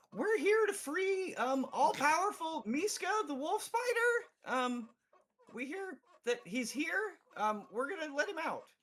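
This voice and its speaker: In a put-on character voice, the speaker talks at a high pitch and a fairly slow pace, with very wide pitch swings. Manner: solemn, serious.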